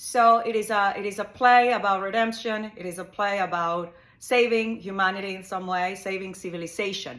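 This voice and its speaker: Speaking with a Spanish accent at a medium pitch, a woman keeps a fairly even intonation and hardly any pauses while her loudness swings widely. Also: moderate pace. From Ecuador. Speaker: psychotherapist. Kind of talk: monologue explanation. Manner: halting, with fillers and repetitions.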